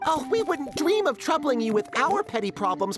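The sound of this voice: Over clear background music, a cartoonish character voice, high in pitch, swings very widely at a moderate pace.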